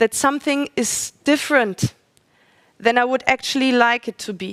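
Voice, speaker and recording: Speaking in a non-native accent at a moderate pace, a woman with a high pitch shows ordinary pitch variation and big swings in loudness, in a dry, close sound with no echo. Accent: non-native English speaker, audible. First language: German. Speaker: speaker at a religious forum. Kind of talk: religious talk. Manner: halting, with fillers and self-corrections.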